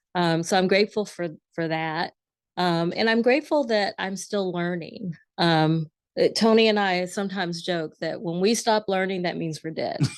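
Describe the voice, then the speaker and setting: At a moderate pace, a woman uses a normal speaking voice of medium pitch with ordinary pitch variation. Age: 50s. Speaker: editor and former journalist. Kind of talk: interview.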